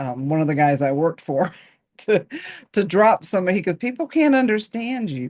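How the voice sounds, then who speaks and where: Very wide pitch swings from a woman with an American accent. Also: medium pitch for a woman, moderate pace. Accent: Southern accent, reduced. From North Carolina. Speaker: podcast host. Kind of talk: podcast interview.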